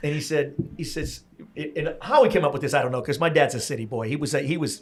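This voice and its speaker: A man talks at a very fast pace with an American accent. His fairly high pitch shows ordinary variation. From US Northeast, Pennsylvania. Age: 60s. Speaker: podcast host. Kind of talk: casual interview chat. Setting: in-person recording at a venue.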